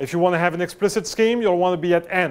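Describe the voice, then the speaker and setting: A man's high-pitched voice keeps a fairly even intonation. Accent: French. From France. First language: French. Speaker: professor. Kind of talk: lecture. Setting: lecture room with students, no mic. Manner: halting, many fillers; loud, raised voice to reach the back.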